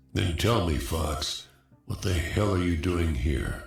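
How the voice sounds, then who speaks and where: A man puts on a character voice with a very deep, low pitch, speaking at a fairly slow pace with a slight echo. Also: ordinary pitch variation. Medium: video game. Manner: clipped military speech.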